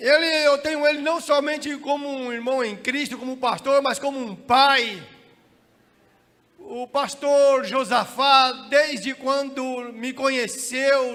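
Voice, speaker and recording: A man's shrill, extremely high-pitched voice at a very slow pace, with fairly even intonation and audible room echo. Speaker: pastor. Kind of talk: sermon. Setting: church.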